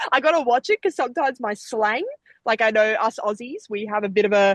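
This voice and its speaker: A woman with an Australian accent uses lively intonation, recorded with a dry, close sound and no echo. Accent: Australian, noticeable abroad. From Australia, Gold Coast. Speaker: Olympic sprinter. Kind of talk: interview. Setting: podcast. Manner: chatty, animated.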